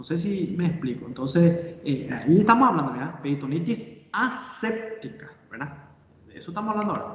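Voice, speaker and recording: Very wide pitch swings and big swings in loudness, with audible room echo and noticeable background noise. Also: man, high pitch for a man, moderate pace. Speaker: surgeon and medical lecturer. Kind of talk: lecture. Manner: halting.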